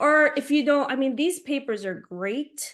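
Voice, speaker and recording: A woman speaks in an animated tone at a moderate pace, with ordinary pitch variation. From Philippines. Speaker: artist teaching a workshop. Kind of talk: tutorial. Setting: video call.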